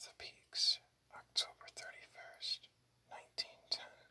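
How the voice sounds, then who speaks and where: Someone is whispering at a very slow pace. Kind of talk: whispered ASMR book reading. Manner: whispered.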